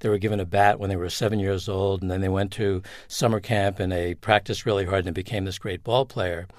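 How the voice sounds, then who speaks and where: Here is a man with an American accent and a fairly low pitch, speaking at a fairly quick pace in an unremarkable speaking voice. The recording is very clean, with a silent background. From Long Island, New York. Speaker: company founder. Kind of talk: interview.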